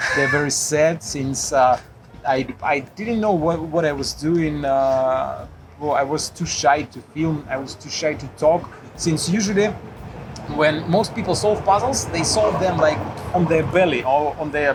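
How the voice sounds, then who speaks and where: With music in the background, a man talks at a fairly slow pace and fairly high pitch, using ordinary pitch variation. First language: Russian. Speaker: puzzle YouTuber. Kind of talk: casual interview chat. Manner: halting, many fillers.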